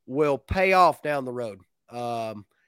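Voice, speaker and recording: A man speaks in a relaxed tone with a strong Appalachian accent and lively intonation, the sound dry and close with no echo. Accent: Southern Appalachian, fairly strong. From north Georgia Appalachia, US. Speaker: beekeeper, sideline bee business owner. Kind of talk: casual interview chat. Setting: video call online. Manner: relaxed, folksy.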